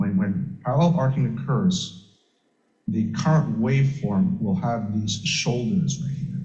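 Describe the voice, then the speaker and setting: The voice has a dark, mellow tone with vocal fry. Audible room echo surrounds it. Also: man. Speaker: electrical safety standards engineer. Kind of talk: technical lecture. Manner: soft-spoken. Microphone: too quiet, far from microphone.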